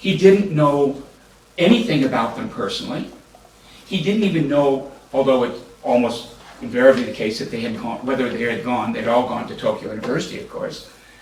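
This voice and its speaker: With noticeable background noise and audible room echo, a man talks at a fairly quick pace through very wide pitch swings. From US, military upbringing. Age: 70s. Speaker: law professor. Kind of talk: panel discussion. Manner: halting.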